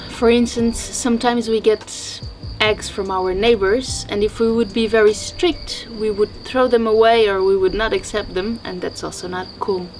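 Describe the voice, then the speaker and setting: A woman speaks at a moderate pace with fairly even intonation, faint music playing in the background. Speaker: homestead project vlogger. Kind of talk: casual vlog chat. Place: kitchen.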